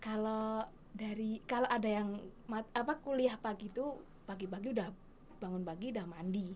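A woman speaks in a plain, everyday voice, fairly high in pitch and at a moderate pace. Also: ordinary pitch variation. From Indonesia, Bantul, Yogyakarta. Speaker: university student counsellor. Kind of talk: casual interview.

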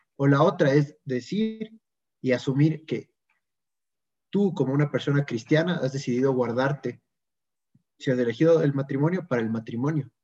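A man with a fairly high pitch and a dark, mellow, somewhat breathy tone speaks with long, frequent pauses. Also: ordinary pitch variation, moderate pace. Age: 20s. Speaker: lay evangelizer. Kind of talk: casual chat.

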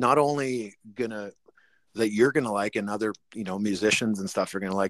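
A man with a plain, everyday voice speaks with a Canadian accent and ordinary pitch variation. The sound is dry and close, with no echo. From Canada. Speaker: rock drummer. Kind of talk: interview.

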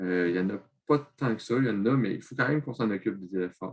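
Ordinary pitch variation marks this man's voice. He talks at a very fast pace. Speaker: secondary school teacher. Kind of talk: interview.

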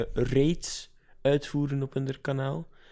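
Very slowly, a man speaks at a medium pitch in a dark, mellow tone. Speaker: podcast co-host. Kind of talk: casual chat.

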